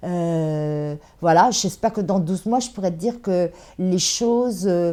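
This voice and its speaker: A woman at a medium pitch, very slow pace and ordinary pitch variation, on a very clean recording with a silent background. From France, Le Havre. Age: 60s. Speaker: bookseller and café owner. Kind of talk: interview. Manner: hesitant.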